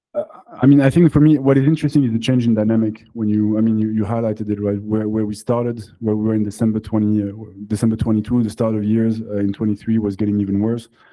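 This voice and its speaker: Speaking very fast with a French accent, a man uses a fairly low pitch. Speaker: crypto company founder and CEO. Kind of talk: panel discussion. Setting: live event with audience.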